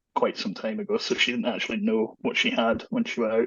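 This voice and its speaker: A man speaks with a Scottish accent. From Scotland. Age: 30s. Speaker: long covid patient sharing his story. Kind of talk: podcast interview.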